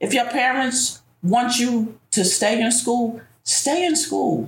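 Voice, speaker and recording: Against noticeable background noise, a woman with an American accent speaks with lively intonation. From New York City. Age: 50s. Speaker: bank worker, grandmother. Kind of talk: personal testimony in interview.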